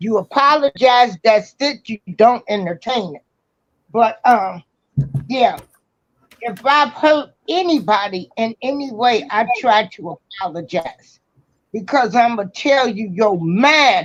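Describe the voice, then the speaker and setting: A woman at a very slow pace, fairly high in pitch, with very wide pitch swings, big swings in loudness and a dry, close sound with no echo. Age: 60s. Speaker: caller. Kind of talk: casual chat.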